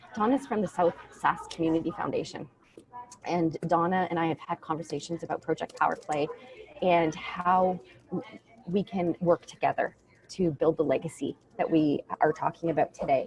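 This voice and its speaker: With noticeable background noise and a dry, close sound with no echo, a woman speaks at a fairly low pitch and a moderate pace, using ordinary pitch variation and long, frequent pauses. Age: 40s. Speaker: nonprofit founder. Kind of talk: video call interview. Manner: halting.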